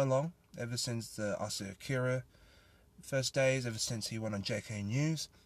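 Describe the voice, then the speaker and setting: Recorded very cleanly with a silent background, a man with an Australian accent and a medium pitch speaks at a fairly quick pace with fairly even intonation. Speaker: podcast host. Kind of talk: casual solo monologue.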